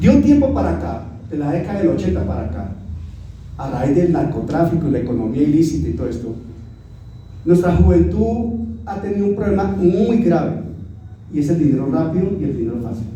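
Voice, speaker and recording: A man with a fairly high voice talks at a fairly quick clip, his pitch swinging very widely, with long, frequent pauses, audible room echo and noticeable background noise. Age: 60s. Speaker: pastor. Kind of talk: sermon.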